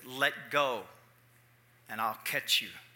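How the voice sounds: A man performs a booming, put-on character voice at a medium pitch.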